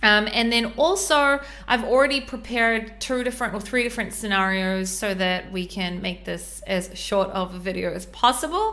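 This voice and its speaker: Over noticeable background noise, a woman with a New Zealand accent speaks at a moderate pace with hardly any pauses, her fairly high pitch showing ordinary pitch variation. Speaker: e-commerce brand consultant. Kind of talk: tutorial. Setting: podcast with screen share. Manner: hesitant, many fillers.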